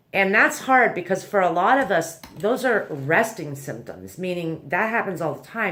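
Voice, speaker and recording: In a room with audible echo, a woman talks at a fairly slow pace. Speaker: anxiety self-help video host. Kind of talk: tutorial. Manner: casual, conversational.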